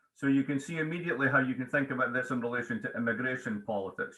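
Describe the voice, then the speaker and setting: With a Scottish accent, a man speaks very fast at a medium pitch. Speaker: economics professor and author. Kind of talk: interview.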